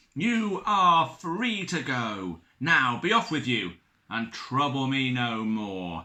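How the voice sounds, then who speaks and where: A man's put-on character voice at medium pitch, raised and projected, with very wide pitch swings and a very slow pace. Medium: read story. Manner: grand, theatrical.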